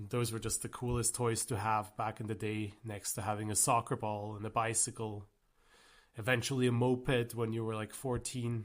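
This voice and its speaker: This man talks at a medium pitch and moderate pace. His intonation is monotone and flat. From German-speaking Switzerland. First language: Swiss German. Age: 30s. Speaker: gaming YouTuber. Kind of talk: casual vlog monologue. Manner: halting, with many fillers.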